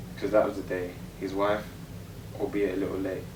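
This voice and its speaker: A man talks at a fairly quick pace with a fairly low pitch. Background noise is noticeable. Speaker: spoken word poet. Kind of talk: spoken word poetry performance.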